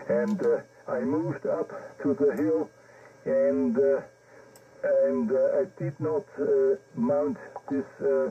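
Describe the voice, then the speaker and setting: Pausing long and often, a man with a German accent speaks at a very slow pace. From Germany. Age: 70s. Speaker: amateur radio operator. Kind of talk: radio contact chat. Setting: amateur radio transmission. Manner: halting.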